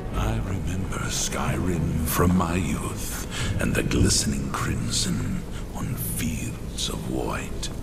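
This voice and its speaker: Over loud background noise, a man whispers in a put-on character voice at a very slow pace. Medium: machinima. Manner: grave, ominous.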